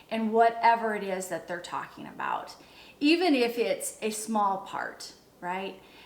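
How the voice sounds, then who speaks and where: A woman with a fairly high pitch speaks at a fairly slow pace amid audible room echo. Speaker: leadership coach. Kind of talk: motivational talk. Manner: pitch rises when excited.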